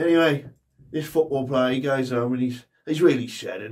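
A man's somewhat breathy voice at a fairly quick pace, with ordinary pitch variation and a quiet background. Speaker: comedian. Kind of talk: stand-up joke telling. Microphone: handheld.

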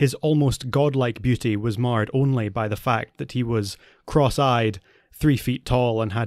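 The clip features an unforced reading voice.

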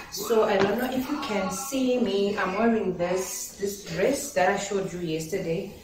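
With audible room echo and noticeable background noise, a woman talks fairly slowly. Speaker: lifestyle vlogger. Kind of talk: casual vlog chat. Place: home room. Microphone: camera far.

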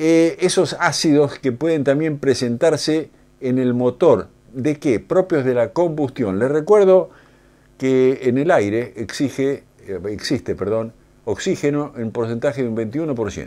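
The voice has a dark, mellow tone, moving at a fairly slow pace with ordinary pitch variation. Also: man, fairly high pitch for a man. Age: 70s. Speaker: automotive engineer and lecturer. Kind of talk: lecture. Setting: studio. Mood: calm, explanatory. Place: studio.

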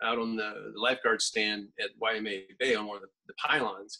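A man speaks at a fairly quick pace in a bright, sharp tone against a quiet background. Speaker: podcast guest. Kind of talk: interview answer. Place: home room. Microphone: video call.

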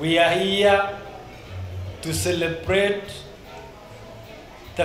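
Clear music plays in the background while a man speaks at a high pitch and a very slow pace. His intonation is fairly even, and room echo is audible. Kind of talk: speech. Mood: celebratory, grateful. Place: hall. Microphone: handheld.

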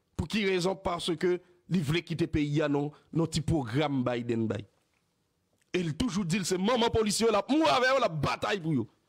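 A man's high voice at a moderate pace, very wide pitch swings, very even loudness, long and frequent pauses, quiet background. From Haiti. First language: Haitian Creole (speaking French). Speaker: news show host. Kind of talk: political commentary. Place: studio. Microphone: studio mic.

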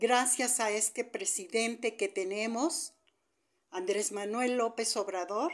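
Against a quiet background, a woman with a fairly high pitch speaks at a very slow pace with ordinary pitch variation. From Mexico. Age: 60s. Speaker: retiree. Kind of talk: video message. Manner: heated. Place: home room. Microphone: phone near.

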